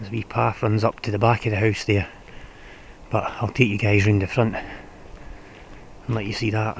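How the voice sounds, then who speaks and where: Over light background noise, a man with a fairly low voice speaks at a moderate pace in a monotone, flat way, the sound dry with no echo. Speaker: urban explorer vlogger. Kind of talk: casual vlog commentary. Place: forest. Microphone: phone near.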